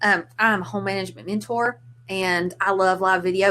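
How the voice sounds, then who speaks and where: A woman with a Southern US accent, medium in pitch, at a moderate pace. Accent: Southern US, noticeable. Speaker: home management mentor and blogger. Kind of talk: casual chat. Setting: live video stream. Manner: animated.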